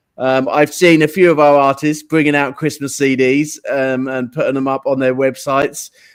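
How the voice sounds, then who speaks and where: In an English accent, a man with a fairly high pitch speaks at a moderate pace in a flat monotone, with hardly any pauses. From England. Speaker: online radio show host. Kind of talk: live show chat. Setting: live studio, guest sitting beside him. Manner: relaxed, frequent fillers.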